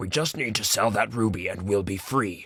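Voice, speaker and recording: A man's put-on character voice, growling at a fairly low pitch and a moderate pace. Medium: read story. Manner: weary, gentle.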